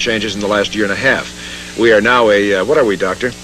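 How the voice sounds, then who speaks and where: A man with a fairly low pitch speaks at a very fast pace, noticeable background noise running under him. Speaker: radio DJ and co-host. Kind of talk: radio station morning banter. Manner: casual, joking.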